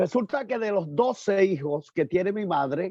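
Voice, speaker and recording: Very slowly, a man with a high pitch and a dark, mellow tone speaks with lively intonation. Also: dry, close sound with no echo. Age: 60s. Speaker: pastor. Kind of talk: testimony. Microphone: choppy connection.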